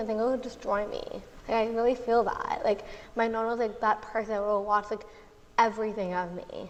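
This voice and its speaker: Audible room echo surrounds this woman's voice. She talks at a very fast pace with a fairly high pitch. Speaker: podcast host. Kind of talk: live podcast interview. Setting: live stage with audience.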